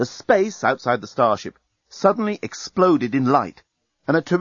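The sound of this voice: Lively intonation marks an unforced reading voice heard over a quiet background.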